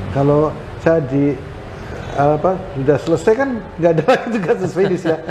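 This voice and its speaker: Noticeable background noise sits behind a man whose fairly high voice moves with lively intonation at a fairly quick pace, broken by long, frequent pauses. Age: 70s. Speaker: retired police general. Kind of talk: interview. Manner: halting, with fillers.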